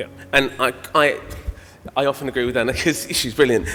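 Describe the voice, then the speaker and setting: A man speaks at a very fast pace with medium pitch. Noticeable background noise is present. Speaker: radiographer speaker at conference. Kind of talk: conference talk and Q&A answer.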